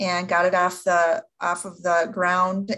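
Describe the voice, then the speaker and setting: With an Upper Midwest US accent, a woman talks at a fairly slow pace in a somewhat breathy voice of medium pitch. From Upper Peninsula of Michigan. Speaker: event management instructor. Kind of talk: podcast interview.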